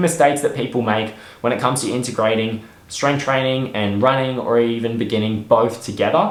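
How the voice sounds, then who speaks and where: A man with an Australian accent at a fairly quick pace and medium pitch, amid noticeable background noise. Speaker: personal trainer and sports nutritionist. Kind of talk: educational fitness talk to camera.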